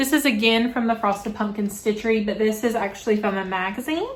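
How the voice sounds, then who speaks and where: A woman's fairly high voice with a Southern US accent, at a fairly quick pace and ordinary pitch variation, over noticeable background noise. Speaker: cross-stitch vlogger. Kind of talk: casual show-and-tell vlog. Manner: fast.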